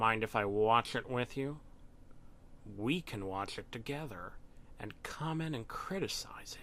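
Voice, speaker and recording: Doing a put-on character voice at medium pitch, a man speaks at a moderate pace with long, frequent pauses over clear background noise. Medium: read story. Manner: stern, cryptic, laughs heartily.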